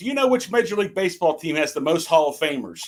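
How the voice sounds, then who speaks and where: A man with a Pittsburgh accent, lively intonation and a very fast pace. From Pittsburgh area, US. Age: 60s. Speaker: network telecom technician, guest. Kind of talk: casual chat.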